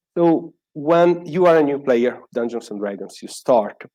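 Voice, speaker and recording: Here a man speaks with an Italian accent and lively intonation. His tone is dark and mellow. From Italy. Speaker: software developer, conference speaker. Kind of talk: conference talk.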